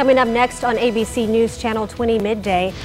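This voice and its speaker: Music plays in the background as a woman with a fairly high pitch talks at a moderate pace. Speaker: TV news anchor. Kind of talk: TV news anchor read.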